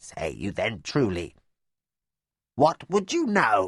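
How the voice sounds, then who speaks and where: Putting on a croaky character voice at a medium pitch, a man speaks at a very slow pace. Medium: read story.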